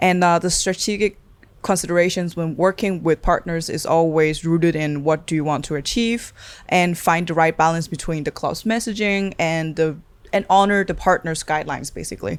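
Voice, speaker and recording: Over a silent background in a very clean recording, a woman talks at a fairly quick pace with a fairly low pitch and ordinary pitch variation. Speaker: podcast co-host. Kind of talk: episode summary. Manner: fast.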